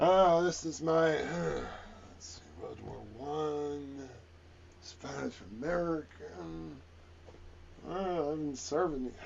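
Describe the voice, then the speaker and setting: Putting on a character voice, a man speaks very slowly in a fairly high pitch, with big swings in loudness, long, frequent pauses and clear background noise. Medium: actual play. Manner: gruff, blustering.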